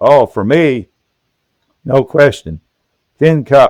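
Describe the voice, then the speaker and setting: Dry and close with no echo, a man speaks at a very slow pace with ordinary pitch variation. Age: 80s+. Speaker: retired engineer. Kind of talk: casual interview chat. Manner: halting, repeats words.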